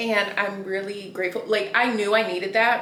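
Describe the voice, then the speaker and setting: There is audible room echo as a woman speaks with a Southern US accent. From US South. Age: 30s. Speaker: law student vlogger. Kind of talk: casual chat.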